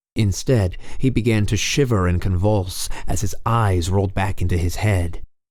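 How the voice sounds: A voice reading naturally, in the manner of a natural reading voice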